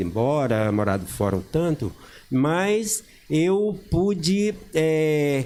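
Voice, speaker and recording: His pitch swings very widely as this man talks. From Brazil, Bahia (Paulo Afonso). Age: 60s. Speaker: teacher and local historian. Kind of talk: talk show interview.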